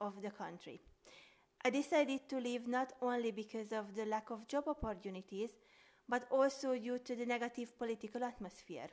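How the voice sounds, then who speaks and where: Spoken with a Hungarian accent, the voice keeps a moderate pace and ordinary pitch variation. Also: woman. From Hungary. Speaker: sociology student. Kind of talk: scripted academic podcast.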